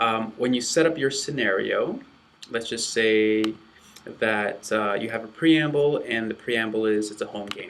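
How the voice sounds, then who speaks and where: A man talks at a moderate pace with an unremarkable speaking voice. His pitch sits in the medium range. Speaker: athletic training instructor. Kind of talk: tutorial.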